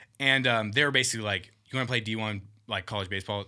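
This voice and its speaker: This voice has a bright, sharp tone and an American accent, with ordinary pitch variation. It runs at a very fast pace in a very clean recording with a silent background. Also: man. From Southern California. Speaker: clothing industry marketer. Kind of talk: casual chat.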